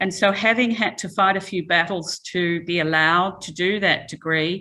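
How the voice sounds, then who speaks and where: Speaking at a moderate pace, a woman with an Australian accent uses ordinary pitch variation. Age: 60s. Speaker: chemical engineering professor. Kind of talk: lecture. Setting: talk with live and online audience.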